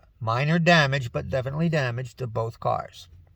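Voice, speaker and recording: In an American accent, a man speaks fairly high and somewhat breathy with ordinary pitch variation, on a very clean recording with a silent background. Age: 60s. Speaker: retired military veteran and vlogger. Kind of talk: casual monologue vlog. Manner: conversational, folksy.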